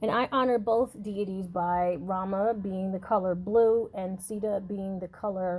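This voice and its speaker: A woman with a dark, mellow tone speaks at a medium pitch with fairly even intonation. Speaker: psychic and podcast host. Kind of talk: spiritual talk podcast. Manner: halting, many fillers; casual, conversational.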